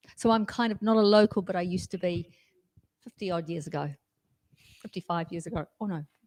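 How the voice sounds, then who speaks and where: A woman with a New Zealand accent talks very fast at a medium pitch with ordinary variation, leaving long, frequent pauses. The recording is very clean, with a silent background and a dry, close sound with no echo. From New Zealand, Tauranga. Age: 60s. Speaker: question host. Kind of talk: casual chat.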